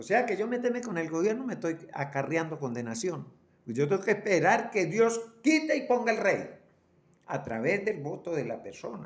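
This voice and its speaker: A man with a high voice speaks at a moderate pace, his pitch swinging very widely, and the room echo is audible. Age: 80s+. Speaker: preacher. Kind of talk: sermon. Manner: halting, repeats words.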